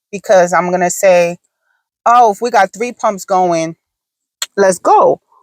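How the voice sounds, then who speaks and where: The sound is dry and close, without any echo. A woman talks with ordinary pitch variation. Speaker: vlogger. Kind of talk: casual chat. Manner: slow.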